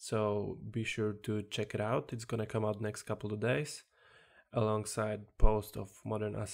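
A moderate pace in a Polish accent. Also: man. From Poland. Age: 20s. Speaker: self-development podcaster. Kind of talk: solo podcast monologue. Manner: halting.

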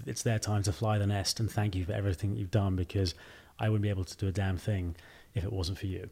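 A man speaks at a very fast pace with a fairly low pitch and a dark, mellow tone, somewhat breathy. The recording is very clean, with a silent background. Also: fairly even intonation. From England. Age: young. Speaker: fashion company CEO. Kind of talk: interview conversation.

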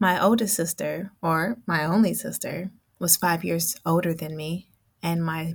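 Speaking at a fairly slow pace with an American accent, the voice shows vocal fry and ordinary pitch variation. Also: woman. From Oakland, California. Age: 40s. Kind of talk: personal storytelling interview.

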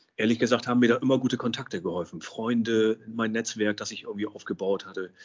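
A man talks very fast. His pitch sits in the medium range. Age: 50s. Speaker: social pedagogue and business consultant. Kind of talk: interview.

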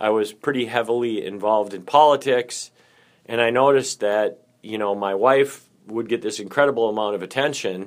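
A man with an unremarkable speaking voice talks at a medium pitch and moderate pace. His intonation is fairly even, and the recording is very clean with a silent background. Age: 50s. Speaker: podcast co-host sharing recovery story. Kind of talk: casual chat. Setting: public library.

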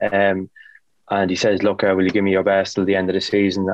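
A man with an Irish accent and a fairly low pitch. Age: 30s. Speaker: footballer. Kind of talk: casual chat.

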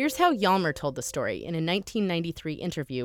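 A woman with an unremarkable speaking voice, fairly low in pitch, lively intonation at a moderate pace, over a silent background in a very clean recording. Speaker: podcast host. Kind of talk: scripted narration.

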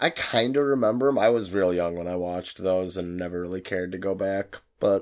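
A man with a very deep, low pitch talks at a fairly quick pace with ordinary pitch variation and hardly any pauses. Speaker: podcast co-host. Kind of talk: casual chat, joking banter. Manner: joking, laughs often.

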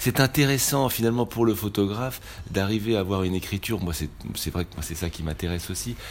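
Fairly low in pitch, a man talks at a fairly quick pace with ordinary pitch variation. Noticeable background noise runs behind him. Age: 40s. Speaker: photographer. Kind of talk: interview. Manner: halting, many repetitions and hesitations.

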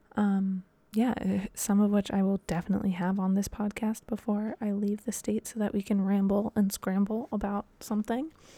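With an American accent, a woman's somewhat breathy voice with a dark, mellow tone moves at a moderate pace in a dry, close sound with no echo. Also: medium pitch for a woman. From US Midwest, Dayton, Ohio. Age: 20s. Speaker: podcast host and professional dancer. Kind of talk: solo casual monologue. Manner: rambling, many fillers and restarts.

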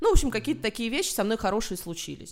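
Lively intonation from a woman, on a very clean recording against a silent background. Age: 30s. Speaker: journalist and film critic. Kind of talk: casual chat.

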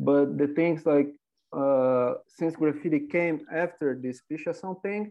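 With a Portuguese accent, a man talks at a fairly slow pace, his pitch fairly high and his intonation fairly even. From Brazil, Rio de Janeiro. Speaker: graffiti artist. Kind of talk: casual interview.

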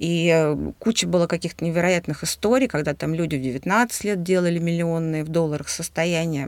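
At a moderate pace, a woman with a fairly low pitch speaks in an unremarkable speaking voice with ordinary pitch variation. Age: 40s. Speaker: businesswoman, podcast co-host. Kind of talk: casual chat.

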